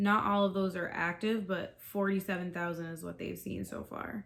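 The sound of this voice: A woman's fairly low, fairly bright voice with an American accent, vocal fry, fairly even intonation and a moderate pace.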